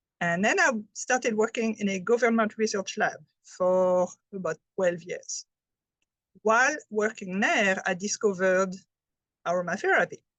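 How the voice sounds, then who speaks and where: A woman speaks in a French accent at medium pitch with ordinary pitch variation and a moderate pace. Long, frequent pauses break up her speech, and the sound is dry and close with no echo. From France. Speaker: health presenter, chemist. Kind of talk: presentation.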